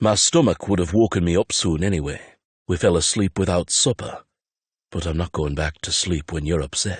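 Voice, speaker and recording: A put-on character voice from a man, very deep, low, and rumbling, gentle in tone, at a moderate pace, with a dry, close sound and no echo. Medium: read story. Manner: quiet, terse, gentle.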